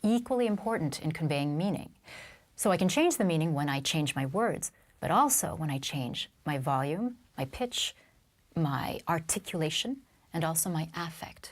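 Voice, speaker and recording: Here a woman has a normal speaking voice, fairly low in pitch, with lively intonation. Her moderate pace is heard in a very clean recording with a silent background. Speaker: voice and public speaking coach. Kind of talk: interview, explaining technique.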